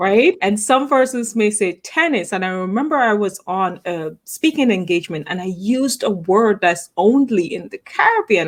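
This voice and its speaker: A woman with an Antiguan accent, lively intonation and hardly any pauses, on a very clean recording with a silent background. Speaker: talk show host. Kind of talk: interview.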